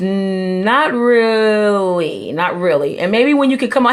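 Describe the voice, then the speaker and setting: Using a plain, everyday voice, a woman speaks fairly high in pitch with ordinary variation. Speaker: hair restoration specialist. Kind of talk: live stream tutorial. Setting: live stream broadcast.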